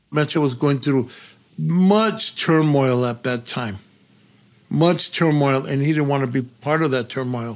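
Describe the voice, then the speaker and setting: Here a man speaks in a fairly high voice with ordinary pitch variation. His pace is fairly slow. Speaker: friend of the subject. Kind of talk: interview. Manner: animated.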